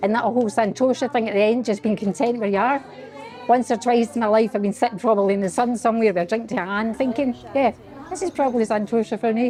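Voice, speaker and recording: Crowd noise fills the background as a woman talks at a very fast pace with a Glaswegian accent. Her pitch is fairly high, with ordinary variation. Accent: Glaswegian Scottish. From Scotland, Glasgow. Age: 60s. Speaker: yoga class participant. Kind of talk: interview testimony.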